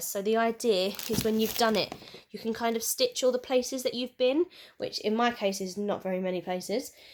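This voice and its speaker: Speaking at a fairly quick pace in a British accent, a woman uses a fairly high pitch with ordinary variation. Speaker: craft and shopping haul vlogger. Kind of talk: casual haul video monologue. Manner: chatty, with fillers.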